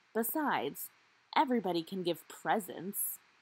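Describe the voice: A woman uses a put-on character voice, fairly low-pitched with a slightly husky edge. She talks at a fairly slow pace with big pitch swings.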